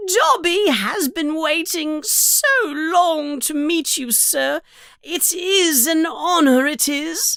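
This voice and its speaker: In a put-on character voice, the speaker talks at a high pitch and a very slow pace. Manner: loud.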